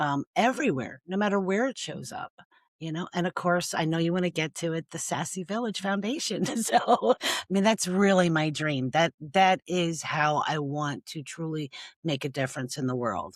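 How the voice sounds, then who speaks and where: Her pitch is fairly low and her intonation lively, at a moderate pace in a normal speaking voice. The woman's recording has a dry, close sound with no echo. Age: 60s. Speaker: domestic violence survivor and nonprofit founder. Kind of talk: podcast interview.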